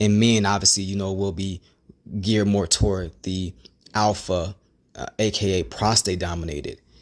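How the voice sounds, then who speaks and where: Intonation stays fairly even while the speech keeps a moderate pace. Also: man, fairly low pitch for a man. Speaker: hair loss video creator. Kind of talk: vlog monologue. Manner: halting.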